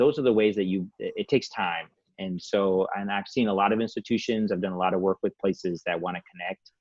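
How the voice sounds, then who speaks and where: Speaking at a moderate pace, this man has a fairly low pitch and a Spanish accent. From Saginaw, Michigan (born in Bolivia, moved at seven). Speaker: community nonprofit director. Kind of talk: panel discussion. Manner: casual, many fillers.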